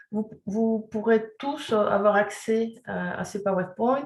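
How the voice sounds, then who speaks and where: In a fairly high pitch, a woman speaks very slowly with monotone, flat intonation. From Chile. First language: Spanish (speaking French). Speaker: sexology and resilience counselor. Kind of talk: webinar presentation. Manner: hesitant, many fillers.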